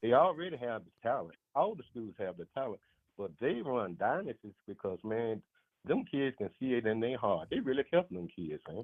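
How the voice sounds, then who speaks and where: A man's medium-pitched voice swings dramatically up and down at a medium speed. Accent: Alabama. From US South, Montgomery, Alabama. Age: 60s. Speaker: caller. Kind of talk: casual chat. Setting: phone call.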